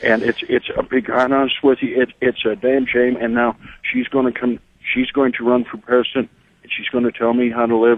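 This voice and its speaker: A man speaks with an American accent at a medium pitch. His pace is fairly quick and his intonation is monotone and flat. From Texas border region. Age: 60s. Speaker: caller, border landowner. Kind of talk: call-in radio talk.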